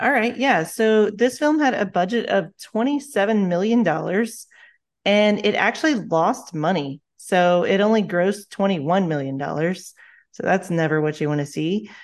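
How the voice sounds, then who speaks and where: Against a quiet background, a woman with a plain, everyday voice talks at a moderate pace, medium in pitch, with lively intonation. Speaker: podcast co-host. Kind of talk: casual chat.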